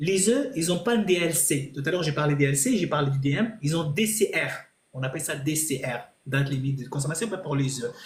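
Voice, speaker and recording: Audible room echo follows a man's voice. He speaks at a fairly quick pace with lively intonation. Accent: non-native. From Italy. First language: not French (speaking French). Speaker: chef. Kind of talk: live stream Q&A. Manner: halting.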